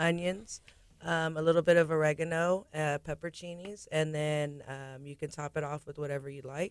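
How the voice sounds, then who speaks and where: A woman speaks in an ordinary speaking voice with an American accent. Her pitch is fairly low, and her intonation stays fairly even. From Galveston, Texas. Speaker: restaurant general manager. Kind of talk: radio interview. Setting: studio.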